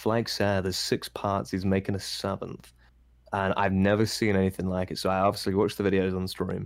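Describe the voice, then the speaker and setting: In a British accent, a man speaks with a very deep, low pitch and monotone, flat intonation on a very clean recording with a silent background. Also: fairly quick pace. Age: 20s. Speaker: Twitch streamer. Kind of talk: casual chat.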